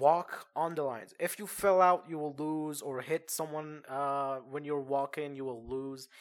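On a very clean recording with a silent background, a man with a Persian accent speaks at a fairly slow pace in a fairly high pitch. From Iran. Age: 20s. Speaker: podcast host. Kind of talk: casual storytelling. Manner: halting, many fillers.

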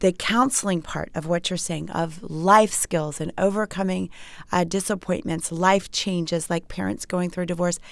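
A woman talks in a normal speaking voice, fairly low in pitch, with fairly even intonation at a moderate pace. The recording is very clean, and the background is silent. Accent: American. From Maryland, US. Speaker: author, speaker and TV host. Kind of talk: interview.

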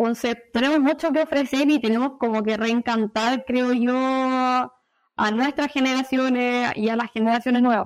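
A woman with a Chilean accent speaks at a fairly slow pace in a high voice, her loudness very even, her intonation fairly even, with hardly any pauses, on a very clean recording with a silent background. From Chile, Viña del Mar. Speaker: animal nutritionist. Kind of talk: interview.

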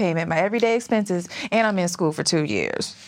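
With lively intonation, a woman speaks at a very fast pace. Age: 30s. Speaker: financial coach. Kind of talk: casual interview chat.

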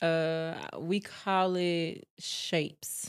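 Her voice is fairly low-pitched, and this woman's intonation is monotone and flat. The sound is dry and close, with no echo. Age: 30s. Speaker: guest sharing faith testimony. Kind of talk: testimony. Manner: halting.

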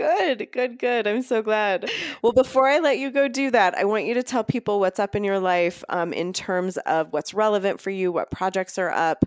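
Over noticeable background noise, a woman of medium pitch speaks at a moderate pace with hardly any pauses, her tone animated and her intonation lively, in a dry, close sound with no echo. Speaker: podcast host. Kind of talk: casual interview chat.

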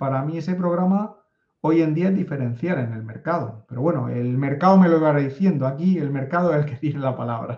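Speaking with a Spanish accent, a man uses a fairly high-pitched, somewhat breathy voice with a dark, mellow tone. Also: ordinary pitch variation, fairly quick pace. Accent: Spanish (Spain). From Spain. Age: 50s. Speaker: data analytics consultant. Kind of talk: interview conversation.

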